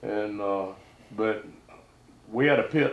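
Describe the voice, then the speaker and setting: Speaking very slowly in a Southern US accent, a man keeps a medium pitch with ordinary variation. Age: 70s. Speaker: duck hunter. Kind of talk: casual chat.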